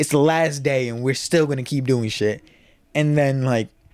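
Fairly high-pitched, this man has an unremarkable speaking voice, fairly even intonation and a moderate pace. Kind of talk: casual chat. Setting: studio.

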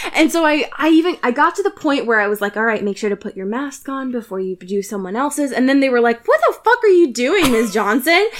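A woman speaks at a very fast pace with hardly any pauses, her high voice swinging very widely in pitch over noticeable background noise. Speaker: teacher. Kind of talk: casual chat. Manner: animated.

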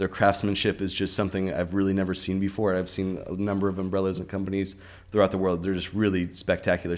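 This is a man with a Californian accent. His pitch is fairly low. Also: very clean recording, silent background. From US West, Southern California (Orange County). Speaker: hat maker. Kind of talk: casual interview chat. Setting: studio with shared microphone.

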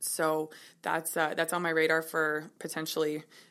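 Speaking with a western Canadian accent at a fairly slow pace, the voice is bright and sharp in tone with monotone, flat intonation, in a very clean recording with a silent background. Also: woman. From Kelowna, British Columbia, Canada. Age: 20s. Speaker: personal trainer and yoga instructor. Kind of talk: interview.

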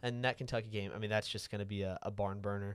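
Captured in a very clean recording with a silent background, the speaker talks very fast with an American accent and a monotone, flat intonation. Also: man. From Florida (Panama City). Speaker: student podcast co-host. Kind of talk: casual sports talk.

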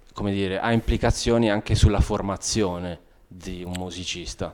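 The recording is very clean, the background silent. A man talks at a very deep, low pitch. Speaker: piano teacher and concert pianist. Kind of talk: explanatory interview. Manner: hesitant, many fillers.

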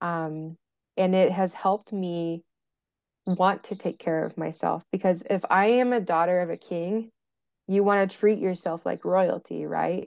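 A woman with an American accent talks in a normal speaking voice at a fairly slow pace and with fairly even intonation, the sound dry and close with no echo against a quiet background. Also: medium pitch for a woman. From US Midwest, rural western Indiana. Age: 20s. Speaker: mental health advocate. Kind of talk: casual interview.

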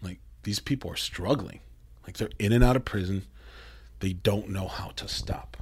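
A man's animated, fairly low voice with an American accent, vocal fry, ordinary pitch variation, big swings in loudness, a moderate pace, and long, frequent pauses. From Mexico, raised in US. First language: Spanish. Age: 30s. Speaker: metal band musician. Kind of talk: casual interview. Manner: animated, profane.

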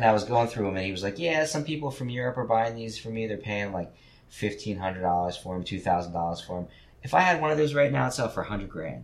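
Audible room echo surrounds a voice with a New Jersey accent. The speech comes at a very fast pace with lively intonation. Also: man, fairly low pitch for a man. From New Jersey, Trenton. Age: 50s. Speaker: gallery owner. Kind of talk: casual chat.

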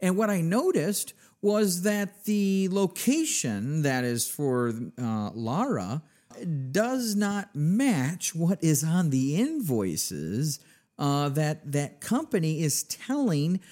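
In a very clean recording with a silent background, a man with a high pitch talks at a very slow pace with very wide pitch swings. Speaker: podcast host. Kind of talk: interview.

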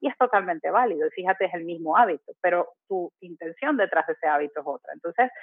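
This woman has a plain, everyday voice, pitched fairly low. Her intonation is lively. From Venezuela. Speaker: habits coach. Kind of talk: casual interview.

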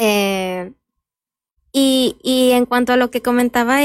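A woman speaks with fairly even intonation. The sound is dry and close, without echo. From Michoacán, Mexico. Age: 20s. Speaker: lawyer. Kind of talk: interview.

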